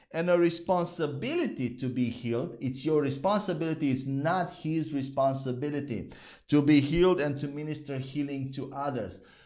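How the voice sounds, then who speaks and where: Against a quiet background, a man speaks at a moderate pace with ordinary pitch variation and hardly any pauses. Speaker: bible teacher. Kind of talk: sermon. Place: studio. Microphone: lapel.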